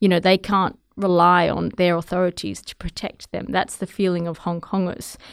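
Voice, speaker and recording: Flat and monotone with hardly any pauses, the speaker talks in an Australian accent on a very clean recording with a silent background and a dry, close sound with no echo. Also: woman, fairly low pitch for a woman, moderate pace. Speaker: television journalist. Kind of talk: interview.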